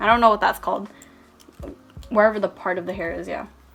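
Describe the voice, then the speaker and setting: Her intonation stays fairly even while music plays in the background as the woman talks. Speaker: artist. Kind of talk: casual tutorial voiceover. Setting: no mic, traffic noise in background. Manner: monotone.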